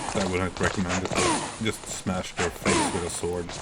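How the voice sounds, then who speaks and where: A man with a very deep, low voice talks at a moderate pace over noticeable background noise. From Sweden. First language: Swedish. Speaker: video game streamer. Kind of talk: live gameplay commentary.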